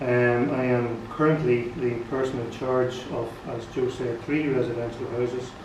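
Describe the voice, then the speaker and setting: Speaking with a Northern Irish accent at a medium pitch, a man keeps his intonation fairly even, with audible room echo and noticeable background noise. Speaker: nurse and care home manager. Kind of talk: formal address to a meeting. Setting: annual general meeting with audience. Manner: halting. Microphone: poor sound quality.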